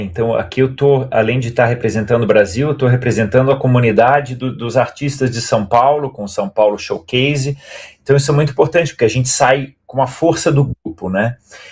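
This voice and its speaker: A man's somewhat breathy voice at medium pitch, with ordinary pitch variation and hardly any pauses. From Brazil. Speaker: stage actor. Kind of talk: interview.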